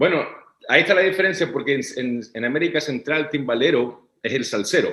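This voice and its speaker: Speaking at a fairly quick pace in a Chilean accent, a man has a fairly high pitch, a bright, sharp tone, and ordinary pitch variation. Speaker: orchestral timpanist. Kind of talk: interview answer.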